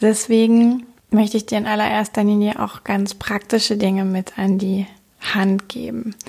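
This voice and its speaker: The voice is somewhat breathy, with monotone, flat intonation. Its pace is fairly slow. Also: woman, medium pitch for a woman. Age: 30s. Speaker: sex coach and podcast host. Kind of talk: solo podcast monologue.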